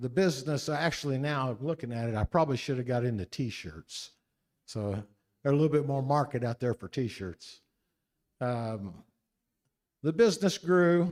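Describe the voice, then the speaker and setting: With a Midwestern American accent, a man talks at a moderate pace and medium pitch, his intonation lively and his pauses long and frequent, on a very clean recording with a silent background. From US Midwest, Henry County, Indiana. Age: 60s. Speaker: political candidate. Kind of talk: campaign speech at a forum.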